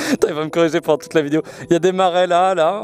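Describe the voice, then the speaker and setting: At a very fast pace, a man talks with a dry, close sound and no echo over noticeable background noise. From eastern France (Nancy). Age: 20s. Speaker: motovlogger. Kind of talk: casual Q&A vlog. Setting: outdoors at a scenic viewpoint.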